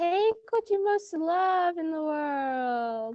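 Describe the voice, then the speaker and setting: An extremely high, squeaky put-on character voice. It moves at a very slow pace. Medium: stage play.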